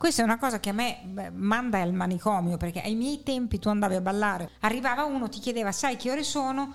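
A woman at a fairly high pitch and very fast pace, with hardly any pauses and ordinary pitch variation. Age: old. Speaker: podcast guest, theatre enthusiast. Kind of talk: casual chat about film.

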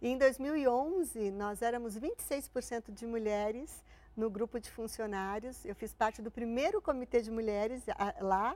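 An ordinary speaking voice from a woman at a fairly high pitch, slow-paced with hardly any pauses, ordinary pitch variation and big swings in loudness, on a very clean recording with a silent background. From Santo André, São Paulo, Brazil. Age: 50s. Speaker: corporate relations executive. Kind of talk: interview.

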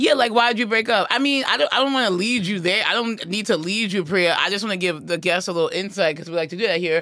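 A woman with a New York accent speaks very fast in a bright, sharp tone with lively intonation. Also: medium pitch for a woman. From New York (Queens). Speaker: comedian and podcast host. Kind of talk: casual chat.

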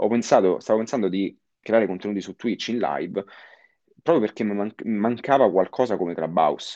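A man with a dark, mellow tone and fairly low pitch speaks over a quiet background. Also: ordinary pitch variation, moderate pace. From Italy, Rome area (Castelli Romani). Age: 20s. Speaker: marketing consultant and lecturer. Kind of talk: interview.

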